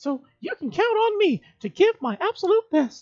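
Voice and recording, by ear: Putting on a cheerful, bubbly character voice, a man swings his pitch very widely.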